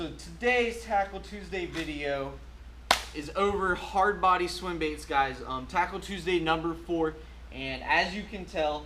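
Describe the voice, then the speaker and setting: A man with an energetic tone speaks fairly slowly amid audible room echo and noticeable background noise. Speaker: fishing tackle youtuber. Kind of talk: casual product review video. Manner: loud; energetic, filler-heavy.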